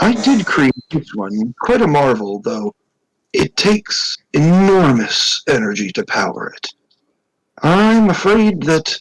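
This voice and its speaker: A man puts on a character voice, pitched high, and talks at a fairly slow pace. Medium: actual play. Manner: measured, knowing.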